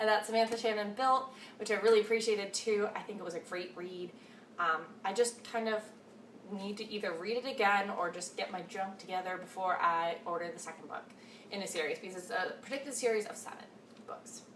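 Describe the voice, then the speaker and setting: Noticeable background noise sits behind a woman speaking at a medium pitch and a fairly quick pace. Her pitch varies in an ordinary way while her loudness swings greatly. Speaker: book vlogger. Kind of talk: casual chat.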